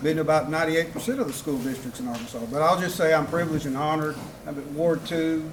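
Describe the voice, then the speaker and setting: An American-accented man talks at a very fast pace in a fairly high pitch with ordinary pitch variation. The recording has audible room echo and noticeable background noise. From US South, South Mississippi. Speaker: city council member and former school principal. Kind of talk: campaign speech. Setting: political rally with audience.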